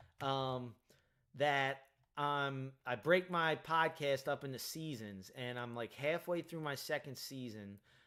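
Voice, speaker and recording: On a very clean recording with a silent background, a man with an American accent speaks very slowly in a fairly high pitch, with a bright, sharp tone and ordinary pitch variation. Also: big swings in loudness. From Delaware County, Pennsylvania (Philadelphia area). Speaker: streamer and podcast host. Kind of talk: casual live-stream chat. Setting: live stream. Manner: filler-heavy, halting.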